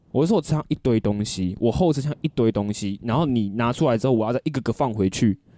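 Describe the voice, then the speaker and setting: Very fast, hardly any pauses, a man's medium-pitched voice with a dark, mellow tone, dry and close with no echo, on a very clean recording over a silent background. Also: ordinary pitch variation. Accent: Taiwanese. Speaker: podcast co-host. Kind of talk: casual chat. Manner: animated.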